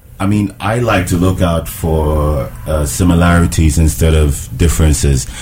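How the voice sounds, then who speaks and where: A man's very deep, low voice with ordinary pitch variation, at a fairly slow pace with hardly any pauses, over noticeable background noise. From Ghana. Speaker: recording artist. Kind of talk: casual radio chat. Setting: radio studio.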